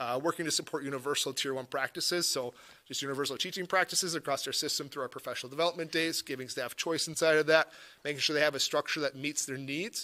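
This man speaks very fast at a fairly high pitch, his intonation fairly even and his tone bright and sharp. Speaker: school district administrator. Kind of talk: board meeting presentation. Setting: school library meeting.

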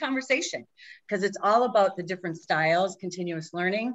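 An enthusiastic woman with an American accent, lively intonation and a quiet background. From Minnesota (Minneapolis). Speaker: agile coach and consultant; agile coach. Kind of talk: presentation. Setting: video call. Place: home room. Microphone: webcam.

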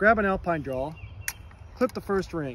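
With lively intonation, a man talks at a very fast pace, the sound dry with no echo and light background noise behind him. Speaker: climbing instructor. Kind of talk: tutorial. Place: garden. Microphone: phone near.

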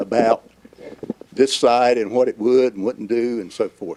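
Speaking with a North Carolina accent, a man keeps a medium pitch and a fairly slow pace in a dry, close sound with no echo. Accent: US Southern (North Carolina). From North Carolina, Johnston County. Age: 70s. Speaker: local resident, public commenter. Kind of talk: public comment. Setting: public meeting hall, seated.

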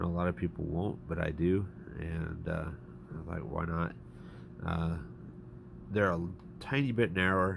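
A man speaks at a moderate pace with a very deep, low pitch and vocal fry. His delivery has long, frequent pauses. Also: ordinary pitch variation. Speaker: RC hobbyist reviewer. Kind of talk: casual product review to camera.

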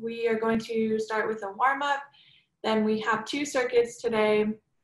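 Amid audible room echo, a woman speaks at a fairly slow pace in a monotone, flat intonation. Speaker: fitness instructor. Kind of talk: workout class instruction. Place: home room. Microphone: webcam.

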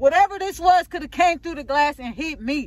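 A shaky voice with a dry sound and no echo. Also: woman. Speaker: vlogger. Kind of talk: angry rant. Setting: in a car, recording on the road. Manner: shaky, outraged, repeating herself. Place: car. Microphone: phone near.

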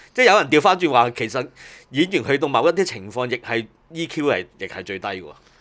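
A man speaks at a fairly quick pace in a fairly high voice, his pitch swinging very widely. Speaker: music industry veteran. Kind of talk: casual chat.

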